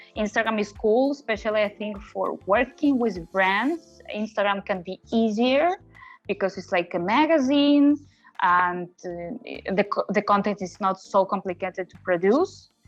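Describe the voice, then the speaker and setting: Music plays in the background. The speaker has lively intonation and keeps a fairly slow pace. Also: woman, medium pitch for a woman. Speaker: content creator. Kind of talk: interview. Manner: halting.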